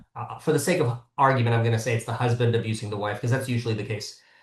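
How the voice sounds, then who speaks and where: Somewhat breathy, a man speaks at a medium pitch with an American accent. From US, Southern California. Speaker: criminal attorney, former prosecutor. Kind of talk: podcast interview.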